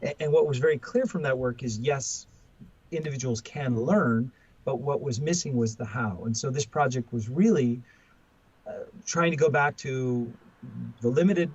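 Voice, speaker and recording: A man with an American accent, medium-pitched and somewhat breathy, at a moderate pace with ordinary pitch variation and long, frequent pauses. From US West Coast. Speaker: professor and author. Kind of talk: podcast interview. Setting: remote call. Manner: halting, many fillers and repetitions.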